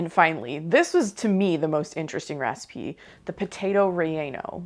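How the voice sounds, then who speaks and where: A woman speaks at a fairly quick pace with an American accent, her pitch fairly low. Her pitch varies in an ordinary way against a quiet background. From US Midwest, Ohio. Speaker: cooking channel host. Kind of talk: casual review of cooked recipes. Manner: casual, chatty.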